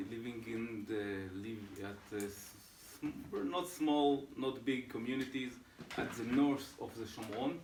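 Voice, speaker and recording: A man's medium-pitched voice with an Israeli accent at a fairly slow pace, amid noticeable background noise and audible room echo. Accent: Israeli Hebrew. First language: Hebrew. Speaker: settler council executive. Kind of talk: briefing talk to visiting delegation. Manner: halting, many hesitations.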